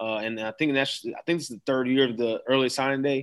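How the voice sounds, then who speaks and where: A man with an American accent, medium in pitch and bright, sharp in tone, at a moderate pace against a quiet background. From Florida, Daytona Beach. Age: 30s. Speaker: high school football coach. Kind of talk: interview.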